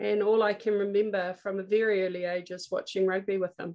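Fairly even intonation in a New Zealand accent. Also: woman. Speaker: politician and former athlete. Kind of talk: interview.

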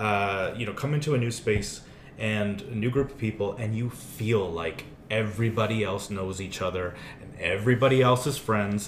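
Pacing is moderate and pitch variation ordinary in an ordinary speaking voice. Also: man, fairly low pitch for a man. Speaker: community group president. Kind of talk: casual interview.

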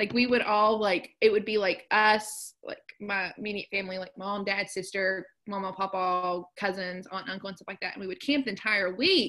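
Here is a plain, everyday voice with an American accent, speaking at a moderate pace. Intonation stays fairly even while loudness swings widely. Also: woman, medium pitch for a woman. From southern West Virginia. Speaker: occupational therapist. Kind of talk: casual chat.

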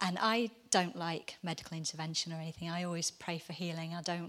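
Talking at a very fast pace, a woman keeps a fairly low pitch. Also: very clean recording, silent background. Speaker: church member giving testimony. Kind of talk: testimony. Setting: church gathering with audience.

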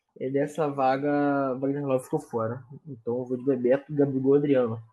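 A man speaks at a fairly quick pace in a plain, everyday voice, pitched fairly high. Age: 20s. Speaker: sports podcast co-host. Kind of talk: casual sports chat.

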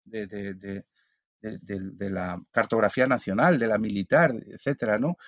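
A man's fairly low voice at a fairly slow pace, with big swings in loudness and ordinary pitch variation, recorded dry and close with no echo against a quiet background. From Spain. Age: 50s. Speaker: philosopher and author. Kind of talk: casual interview. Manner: halting, many repetitions.

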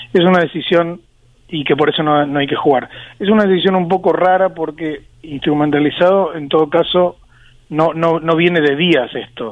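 Delivery moves at a moderate pace. Pitch rises and falls in a fairly even way. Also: man, high pitch for a man. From Argentina. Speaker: sports journalist and author. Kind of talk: interview.

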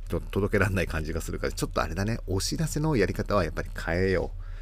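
A man at a very fast pace, fairly low in pitch, with lively intonation and hardly any pauses. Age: 40s. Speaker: florist and podcast host. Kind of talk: casual monologue. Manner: rambling, filler-heavy.

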